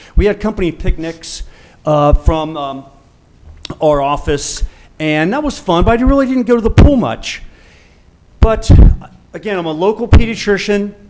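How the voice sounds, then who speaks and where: Amid noticeable background noise, a man with a high pitch talks at a moderate pace with lively intonation and long, frequent pauses. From US Midwest, Cincinnati east side. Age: 60s. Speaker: pediatrician, public commenter. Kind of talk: public comment. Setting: public meeting with audience. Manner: halting.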